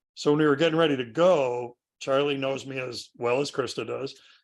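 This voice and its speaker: This is a plain, everyday voice from a man with a fairly high pitch. He speaks at a moderate pace on a very clean recording with a silent background. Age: 60s. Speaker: woodworking author and instructor. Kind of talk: interview.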